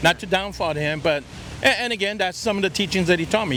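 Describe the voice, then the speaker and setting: Noticeable background noise sits behind a man talking at a very fast pace with ordinary pitch variation. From South Texas, Victoria. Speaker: street interviewee. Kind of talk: casual chat. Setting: outdoors.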